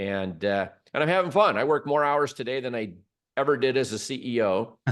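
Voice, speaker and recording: A man with a Midwestern US accent talks fairly quickly at medium pitch with lively intonation against a quiet background. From Michigan, suburb of Detroit. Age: 60s. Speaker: business consultant and former CEO. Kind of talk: interview.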